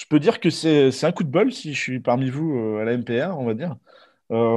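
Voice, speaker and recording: A normal speaking voice shows ordinary pitch variation. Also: man. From Normandy, France. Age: 20s. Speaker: aspiring record shop owner. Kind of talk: interview.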